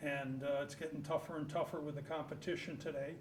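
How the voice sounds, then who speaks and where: A man with an American accent talks at a fairly quick pace in a monotone, flat intonation. The recording has audible room echo and noticeable background noise. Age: 70s. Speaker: local business owner. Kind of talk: acceptance remarks at a public meeting. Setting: town hall meeting room.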